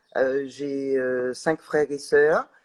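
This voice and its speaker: The speech comes at a very slow pace in a dry, close sound with no echo. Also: woman. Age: 60s. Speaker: organic farmer and NGO vice president. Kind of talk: live interview. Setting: livestream. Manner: halting, many hesitations.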